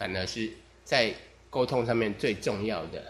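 In a relaxed tone, a man speaks at a fairly slow pace. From Taiwan. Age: 40s. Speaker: podcaster. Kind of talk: casual monologue.

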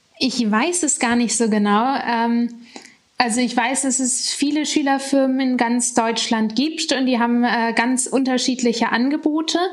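A woman's high voice with fairly even intonation and very even loudness, audible room echo and noticeable background noise. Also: fairly slow pace. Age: 20s. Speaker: former young startup founder and student. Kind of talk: interview.

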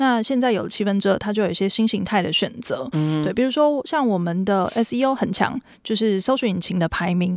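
The speaker has a Taiwanese accent and talks at a moderate pace with ordinary pitch variation. The recording is very clean, with a silent background. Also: woman. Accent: Taiwanese Mandarin. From Taiwan, Taipei. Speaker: startup founder. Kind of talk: interview.

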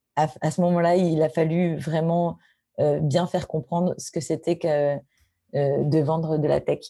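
A woman's very deep, low voice with a dark, mellow tone, monotone, flat intonation and a fairly slow pace. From Paris, France. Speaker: tech executive. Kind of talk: interview.

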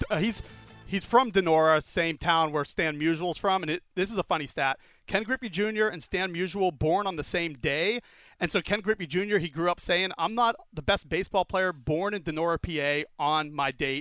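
A man with an American accent, high-pitched, bright and sharp in tone, ordinary pitch variation, moderate pace, dry close sound with no echo, very clean recording over a silent background. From Pittsburgh, western Pennsylvania. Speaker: show researcher and producer. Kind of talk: casual chat.

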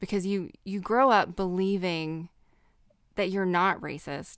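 Recorded very cleanly over a silent background, a woman with a Southern US accent talks at a fairly slow pace in a fairly low pitch. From US South. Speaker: podcast host. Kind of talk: casual chat.

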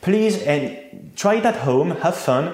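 With a French accent, a man speaks at a fairly slow pace with lively intonation, amid noticeable background noise and audible room echo. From France, Reims. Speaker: champagne producer. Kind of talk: interview.

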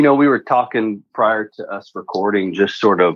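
The pitch rises and falls in an ordinary way. It is an ordinary speaking voice. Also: man. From Alberta, Canada (near Edmonton). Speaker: real estate investor. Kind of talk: interview.

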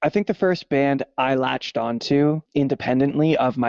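A man with a Canadian accent uses a plain, everyday voice, fairly high in pitch, at a moderate pace with ordinary pitch variation. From Canada. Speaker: musician and sound engineer. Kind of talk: casual chat.

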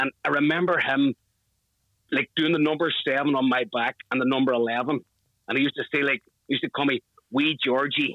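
A man with a Northern Irish accent, fairly high in pitch, at a moderate pace with fairly even intonation, very even loudness, and long, frequent pauses. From Northern Ireland. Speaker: football fan, flag maker. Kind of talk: interview.

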